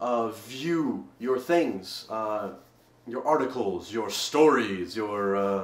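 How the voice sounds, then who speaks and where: Speech comes at a very slow pace amid noticeable background noise, with audible room echo. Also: man. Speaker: vlogger. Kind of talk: video response vlog. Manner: louder than normal, dynamic; halting, many repetitions.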